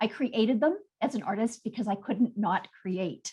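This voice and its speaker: There's lively intonation in this woman's fairly high-pitched voice, an ordinary speaking voice. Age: 60s. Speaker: textile artist. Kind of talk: artist presentation on video call.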